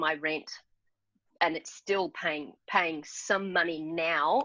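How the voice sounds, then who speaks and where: Against a quiet background, a woman with an Australian accent speaks very slowly with long, frequent pauses, her fairly low voice bright and sharp with ordinary pitch variation. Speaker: entrepreneur. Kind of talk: interview.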